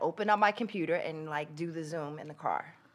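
Speech in an American accent, very clean recording, silent background. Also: woman. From New Jersey. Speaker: actress and comedian. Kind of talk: casual chat interview.

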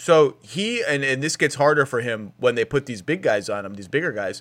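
Recorded very cleanly against a silent background, a man uses a normal speaking voice at medium pitch with ordinary pitch variation. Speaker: podcast host. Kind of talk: casual chat.

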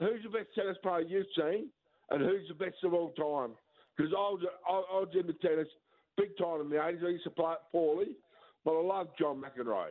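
A man with an Australian accent speaks at a high pitch and a fairly quick pace. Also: ordinary pitch variation. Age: 50s. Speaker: caller. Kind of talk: talkback call. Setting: phone call. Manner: halting.

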